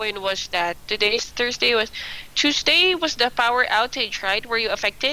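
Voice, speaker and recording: Amid noticeable background noise, a woman with a fairly high pitch talks at a moderate pace with lively intonation. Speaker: online English teacher. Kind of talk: one-on-one English lesson.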